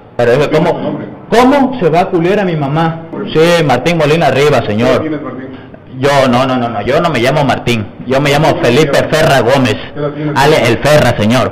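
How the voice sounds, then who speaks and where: The speech has ordinary pitch variation over noticeable background noise. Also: man. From Mexico. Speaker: arrested man. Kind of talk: street interview. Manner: agitated. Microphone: handheld.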